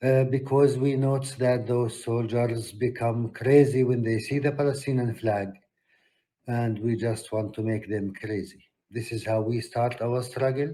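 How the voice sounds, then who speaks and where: A somewhat breathy, dark and mellow voice speaks in a flat monotone at a moderate pace, with audible room echo. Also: man, medium pitch for a man. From Palestine. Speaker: peace activist. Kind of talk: conference talk. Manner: hesitant with fillers.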